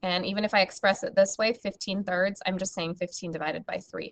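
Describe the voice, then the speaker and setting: A woman with a normal speaking voice speaks at a medium pitch with fairly even intonation. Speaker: math teacher. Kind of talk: recorded lesson.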